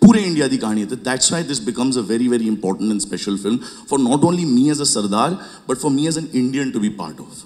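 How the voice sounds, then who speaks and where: Audible room echo hangs around a man's voice. His intonation is lively. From Punjab, India. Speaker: film producer. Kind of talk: press conference answers.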